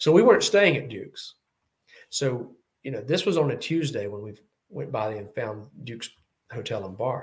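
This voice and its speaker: A man in a Southern US accent, somewhat breathy, at a moderate pace with lively intonation, big swings in loudness and long, frequent pauses. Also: medium pitch for a man. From US South. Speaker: Bond fan YouTuber. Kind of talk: casual chat.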